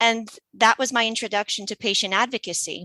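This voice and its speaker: A woman speaks with an American accent in a bright, sharp tone, recorded dry and close with no echo. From US, Polish immigrant family. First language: Polish. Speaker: patient advocate. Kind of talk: interview. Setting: radio podcast.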